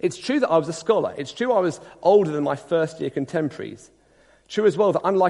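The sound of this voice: Lively intonation in an unforced reading voice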